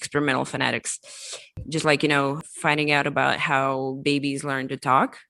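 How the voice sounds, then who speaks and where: A woman with a non-native accent speaks at a moderate pace. Her very deep, low pitch stays monotone and flat. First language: not English. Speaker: crypto marketing executive. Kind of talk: interview.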